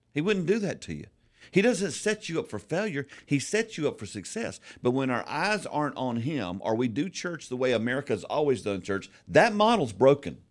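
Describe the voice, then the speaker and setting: A man with a fairly high pitch and vocal fry speaks at a moderate pace with very wide pitch swings, in a very clean recording with a silent background. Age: 60s. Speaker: pastor and church consultant. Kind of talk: casual chat.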